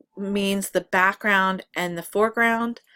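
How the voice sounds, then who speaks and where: Here a woman speaks at a medium pitch in a bright, sharp tone. The recording is very clean, with a silent background. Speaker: photography instructor. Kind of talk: tutorial. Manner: halting, many fillers.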